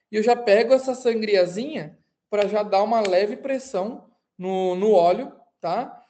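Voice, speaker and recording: Room echo is audible as a woman speaks at a fairly slow pace. Her fairly high voice has a dark, mellow tone and fairly even intonation. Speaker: aviation mechanics instructor. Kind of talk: online lecture. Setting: recorded live online class.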